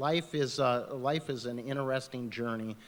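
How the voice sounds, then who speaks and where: In an ordinary speaking voice, a man talks at a medium pitch and a fairly slow pace. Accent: American. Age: 60s. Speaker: political candidate. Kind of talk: candidate forum closing remarks.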